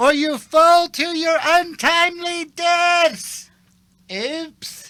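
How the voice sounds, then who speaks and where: An extremely high-pitched, put-on character voice moves at a very slow pace. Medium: comedy sketch. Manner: goofy, excitable.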